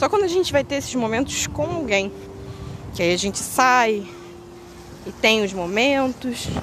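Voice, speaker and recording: At a fairly slow pace with long, frequent pauses, the speaker's pitch swings very widely over noticeable background noise. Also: woman, high pitch for a woman. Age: 20s. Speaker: podcaster. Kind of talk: personal monologue. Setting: outdoors. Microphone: poor audio quality.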